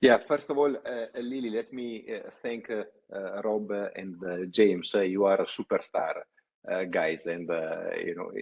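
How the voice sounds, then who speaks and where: Loudness swings widely as a man with an Italian accent talks at a fairly slow pace. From Italy. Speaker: company CEO, panel host. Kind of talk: webinar panel discussion. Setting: online webinar. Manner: hesitant, many fillers.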